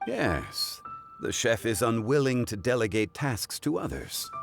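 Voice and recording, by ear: A man's put-on character voice, medium in pitch with vocal fry and big pitch swings, at a fairly slow pace over faint background music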